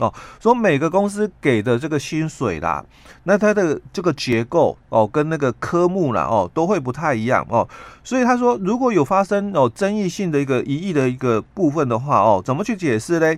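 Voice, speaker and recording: A man with a fairly high pitch speaks at a moderate pace. His pitch swings very widely. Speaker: labor relations expert. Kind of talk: radio interview explaining labor law. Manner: halting, many filler particles.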